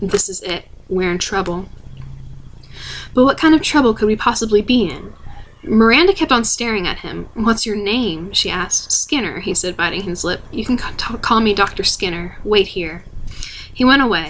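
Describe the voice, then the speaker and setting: A woman's fairly high voice with lively intonation, set against noticeable background noise. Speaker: ASMR reader. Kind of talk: read story. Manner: fast.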